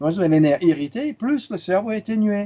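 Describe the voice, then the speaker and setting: Here a man speaks with very wide pitch swings. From California, US. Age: 60s. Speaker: chiropractor. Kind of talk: interview.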